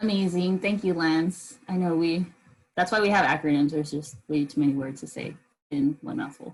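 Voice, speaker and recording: A woman speaks at a moderate pace with a fairly low, somewhat breathy voice. Her intonation is lively. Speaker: event moderator. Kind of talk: virtual event introduction.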